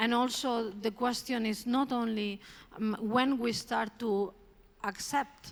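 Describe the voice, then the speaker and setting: A woman speaks with a Spanish accent and fairly even intonation. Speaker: art curator. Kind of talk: public talk. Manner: hesitant, with filler words.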